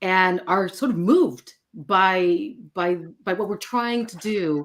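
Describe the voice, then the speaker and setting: The speaker is a woman with a Spanish accent. Her pitch varies in an ordinary way. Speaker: architecture firm diversity director. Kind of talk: live stream panel conversation.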